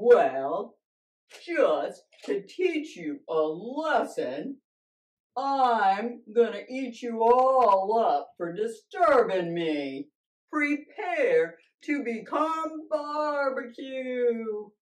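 This cartoonish character voice sits at a fairly high pitch and moves at a very slow pace. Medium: puppet show. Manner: gloating, menacing.

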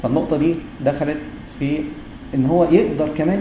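Amid noticeable background noise and audible room echo, a man speaks fairly quickly at a fairly high pitch. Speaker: gastroenterologist, university lecturer. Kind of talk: lecture.

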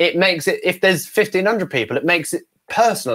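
Talking at a very fast pace, the man has a high pitch and a British accent. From UK. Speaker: ventriloquist. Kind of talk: interview. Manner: casual, conversational.

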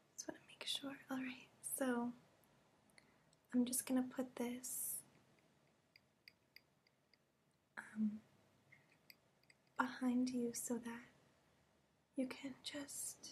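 At a very slow pace with long, frequent pauses, a woman with a high pitch speaks in a monotone, flat intonation. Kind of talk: soft-spoken ASMR role-play. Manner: soft ASMR whisper, close to mic. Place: home room. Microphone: webcam.

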